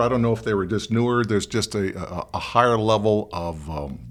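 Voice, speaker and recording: Here is a plain, everyday voice with an American accent. It moves at a fairly quick pace with lively intonation. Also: man. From Michigan, US. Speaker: podcast host. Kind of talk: casual interview chat.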